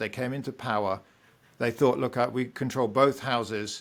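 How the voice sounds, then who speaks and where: A man in a British accent, medium pitch with ordinary pitch variation, moderate pace, very clean recording and silent background. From Britain. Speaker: economics professor. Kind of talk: podcast interview.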